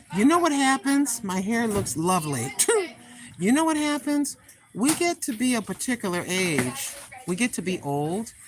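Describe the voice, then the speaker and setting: A woman speaks at a moderate pace in a fairly high voice with very wide pitch swings. Noticeable background noise runs behind her. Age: 60s. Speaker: live-streaming vlogger. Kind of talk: casual live stream chat. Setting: store. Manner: animated.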